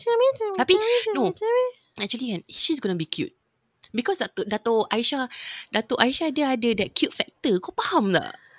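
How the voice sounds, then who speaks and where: The delivery moves at a fairly quick pace. The pitch swings very widely. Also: woman, high pitch for a woman. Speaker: podcast co-host. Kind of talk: casual chat.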